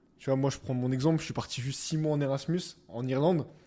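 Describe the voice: A man talks fast at medium pitch. His tone is dark and mellow, with fairly even intonation.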